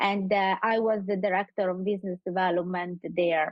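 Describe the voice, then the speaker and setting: A woman speaks with a strong Sicilian accent, the sound dry and close with no echo. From Sicily, Italy. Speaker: community group founder. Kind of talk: radio interview. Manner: halting, many fillers.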